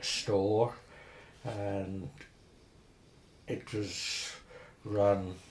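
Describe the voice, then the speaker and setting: A man's fairly low, somewhat breathy voice with a Herefordshire accent and fairly even intonation. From Herefordshire, England. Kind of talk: oral history interview answer.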